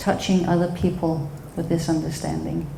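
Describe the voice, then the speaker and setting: In a Danish accent, a woman talks fairly slowly at a fairly low pitch with monotone, flat intonation, amid audible room echo and noticeable background noise. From Denmark. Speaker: psychotherapist and speaker. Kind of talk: talk at a live event.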